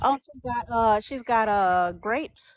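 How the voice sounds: Slowly, a woman speaks at a fairly high pitch with ordinary pitch variation.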